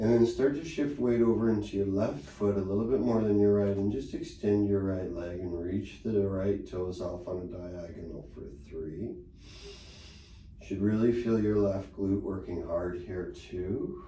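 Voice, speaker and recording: In a room with audible echo, a man talks in a calm tone at a fairly slow pace, with a fairly low pitch and ordinary pitch variation. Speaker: pilates instructor. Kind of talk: exercise class instruction. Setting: studio. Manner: calm, encouraging.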